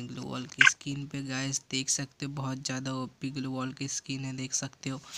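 A bright, sharp tone at a moderate pace. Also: man. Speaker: gaming YouTuber. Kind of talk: gameplay tutorial.

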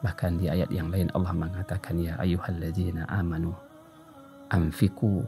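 A man speaks at a moderate pace with a very deep, low pitch. His intonation stays fairly even, and faint music plays in the background. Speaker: Islamic preacher. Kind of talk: Islamic sermon (kajian). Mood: calm, earnest. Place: studio. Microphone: studio mic.

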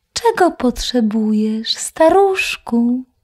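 Someone uses a put-on character voice at a fairly high pitch, speaking at a very slow pace. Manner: polite.

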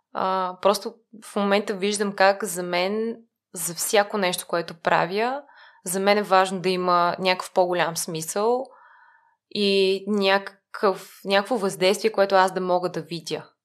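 A woman's unremarkable speaking voice at a medium pitch, fairly slow in pace, with fairly even intonation. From Bulgaria, Lyubimets. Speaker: nonprofit mentoring program manager. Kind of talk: interview conversation.

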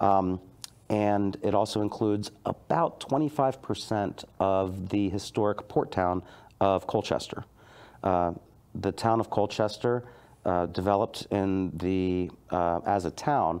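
A man has an ordinary speaking voice with a fairly low pitch. He talks at a fairly slow pace with ordinary pitch variation. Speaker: guest. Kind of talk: interview answer. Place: studio. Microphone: lapel.

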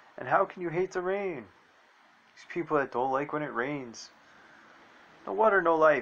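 Using a fairly high pitch and lively intonation, a man talks at a moderate pace with big swings in loudness and long, frequent pauses. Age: 40s. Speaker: video blogger. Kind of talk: casual monologue. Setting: outdoors. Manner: rambling, conversational. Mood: reflective, calm. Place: garden. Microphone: phone near.

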